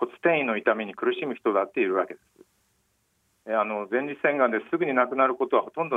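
The delivery comes fairly quickly in an unremarkable speaking voice. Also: man. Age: 50s. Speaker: newspaper medical journalist. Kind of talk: interview about personal cancer experience. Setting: phone call.

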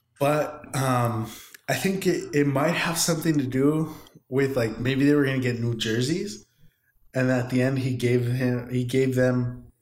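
A man's medium-pitched voice, fairly slow and fairly even in intonation, with audible room echo. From Southern California (El Monte). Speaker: podcast co-host. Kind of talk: casual chat.

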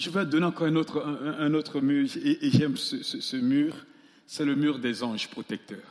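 A man with a fairly high voice talks at a moderate pace, his pitch rising and falling in an ordinary way. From Central African Republic. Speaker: pastor. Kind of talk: sermon. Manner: animated.

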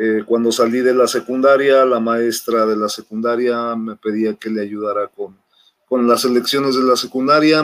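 A man's monotone, flat intonation in a Mexico City accent. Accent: Mexican Spanish (Mexico City). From Mexico City (Xochimilco). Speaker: national volleyball coach. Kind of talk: interview. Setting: video call.

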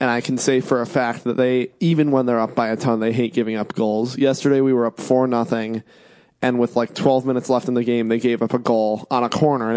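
The man's voice is unremarkable, with a medium pitch. He talks at a fairly quick pace and keeps his intonation fairly even. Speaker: podcast co-host. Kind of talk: casual banter about sports.

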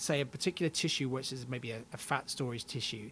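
Using an unremarkable speaking voice, a man gets through his words at a fairly quick pace. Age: 30s. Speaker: genetics professor and aging researcher. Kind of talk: interview.

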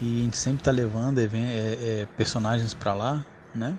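This man's voice sits at a medium pitch. It is somewhat breathy. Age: 30s. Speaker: cosplay agency founder. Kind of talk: casual interview.

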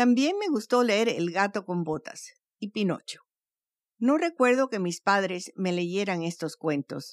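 A woman speaks at a fairly slow pace and medium pitch, with very wide pitch swings. The recording is very clean, with a silent background and a dry, close sound with no echo. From Cuban family, raised in Venezuela. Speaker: storyteller podcast host. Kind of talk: scripted narration.

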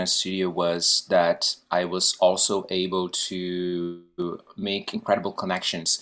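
Speaking very slowly, a man with a fairly low pitch talks in a Portuguese accent. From Brazil. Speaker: actor and guest host. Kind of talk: interview. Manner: animated.

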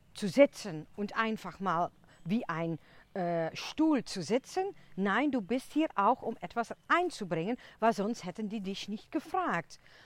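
A woman with a non-native accent at a fairly slow pace, her pitch swinging very widely. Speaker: podcast host. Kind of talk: casual monologue. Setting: outdoors in a forest. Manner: chatty, talkative.

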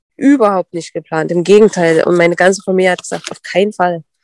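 Woman at a medium pitch, fairly quick, with fairly even intonation and a dry, close sound with no echo. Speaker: dog sport competitor and breeder. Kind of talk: casual interview.

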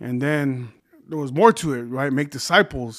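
On a very clean recording with a silent background, a man with an American accent talks at a fairly quick pace. He has a plain, everyday voice, a medium pitch and fairly even intonation. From California. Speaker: pastor. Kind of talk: casual chat.

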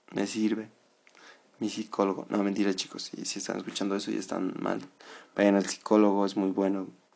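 Fairly low in pitch, a man talks at a moderate pace. His intonation is monotone and flat. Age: 20s. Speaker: podcast host and psychology student. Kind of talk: casual monologue. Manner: calm.

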